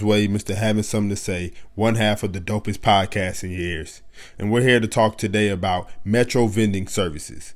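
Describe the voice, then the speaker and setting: A man talks at a fairly quick pace with fairly even intonation. He has a plain, everyday voice with fairly low pitch. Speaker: podcast host. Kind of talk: casual interview chat.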